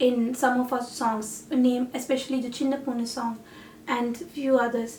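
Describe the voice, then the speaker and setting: Over noticeable background noise, a woman with a Tamil accent and a high pitch speaks in a flat monotone at a moderate pace. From India and Malaysia. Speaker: singer-songwriter and artist. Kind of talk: reflective talk about a project.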